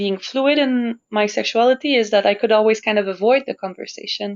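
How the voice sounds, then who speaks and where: Speaking at a moderate pace with a Quebec accent, a woman with a fairly high voice is heard in a dry, close recording with no echo. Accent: Québécois French accent in English. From Montreal, Quebec. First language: French. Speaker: opera singer. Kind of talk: interview conversation.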